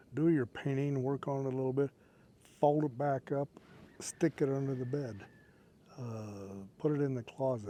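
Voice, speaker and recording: At a fairly slow pace, a man talks in a dark, mellow tone at medium pitch, with ordinary pitch variation. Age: 70s. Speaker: painting instructor, YouTuber. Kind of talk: tutorial. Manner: casual, halting with fillers.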